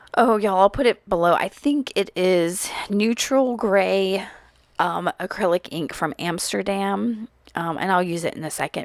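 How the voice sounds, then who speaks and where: A woman's medium-pitched, normal speaking voice at a fairly slow pace, with ordinary pitch variation and a dry, close sound with no echo. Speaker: crafter. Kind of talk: tutorial.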